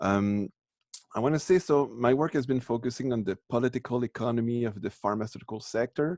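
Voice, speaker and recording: A man speaks at a fairly quick pace with a French accent and medium pitch. His pitch varies in an ordinary way, and the sound is dry and close with no echo. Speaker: professor. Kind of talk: lecture. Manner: halting, many false starts.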